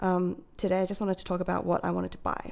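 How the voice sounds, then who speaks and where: A woman with an Australian accent. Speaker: planner hobbyist vlogger. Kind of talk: casual chat. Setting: talking to a camera alone. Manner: hesitant, many fillers.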